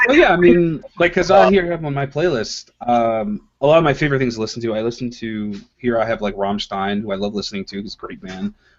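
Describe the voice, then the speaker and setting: Pitch swings very widely and loudness rises and falls sharply at a fairly quick pace, with hardly any pauses. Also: man, medium pitch for a man. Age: 20s. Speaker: comic artist. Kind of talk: casual chat.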